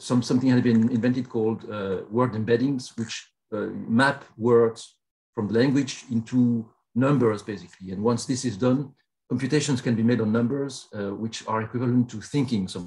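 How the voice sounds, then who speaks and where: A man's dark, mellow tone with fairly even intonation at a moderate pace. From Belgium. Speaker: professor. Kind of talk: keynote lecture. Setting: video call.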